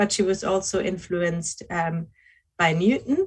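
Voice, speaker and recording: This woman has a German accent and a medium pitch. Her voice is somewhat breathy. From Germany. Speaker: philosophy researcher. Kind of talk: academic lecture. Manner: slow, hesitant with many fillers.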